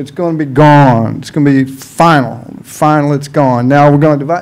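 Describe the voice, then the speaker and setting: A man speaks with a Southern US accent. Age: 60s. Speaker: public commenter at city council. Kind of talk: public comment. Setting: council meeting. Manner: impassioned.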